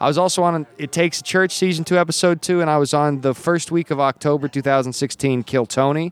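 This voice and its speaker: A man speaks in a plain, everyday voice at a fairly high pitch, with fairly even intonation, very even loudness, a fairly quick pace and hardly any pauses. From Wyoming, US. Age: 30s. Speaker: comedian. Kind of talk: casual chat. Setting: comedy club showroom.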